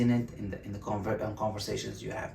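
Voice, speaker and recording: Audible room echo surrounds a man's somewhat breathy voice with a Bulgarian accent. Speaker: self-help video host. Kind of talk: motivational talk to camera. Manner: halting, many fillers and restarts.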